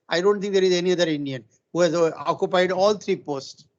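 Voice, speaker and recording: This man has a high voice. His pitch varies in an ordinary way. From India. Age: 70s. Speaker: retired engineering professor. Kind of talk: webinar lecture. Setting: online webinar. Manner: halting.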